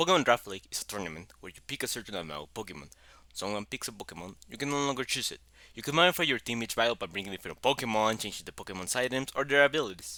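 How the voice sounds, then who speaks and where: A man's very fast, medium-pitched speech in a strong Mexican accent, bright and sharp in tone, with very wide pitch swings on a very clean recording with a silent background. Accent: heavy Mexican Spanish. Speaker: YouTuber, gaming content creator. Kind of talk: explainer narration.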